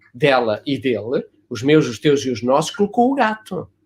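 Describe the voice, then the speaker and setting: The delivery is animated and somewhat breathy, at a moderate pace. Pitch swings very widely from high to low. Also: man. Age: 70s. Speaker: family constellation therapist. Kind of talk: casual chat. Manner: hesitant with fillers.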